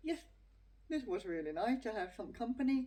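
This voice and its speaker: The speaker is a woman. Her voice sounds dark and mellow. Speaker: vlogger with hearing loss. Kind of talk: personal testimony. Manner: halting.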